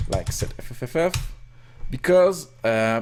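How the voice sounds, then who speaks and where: The man speaks with a French Canadian accent. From Quebec. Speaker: hobbyist programmer / rom hacker. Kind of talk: screen-recorded coding tutorial. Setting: live stream with chat. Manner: halting, many fillers and self-corrections.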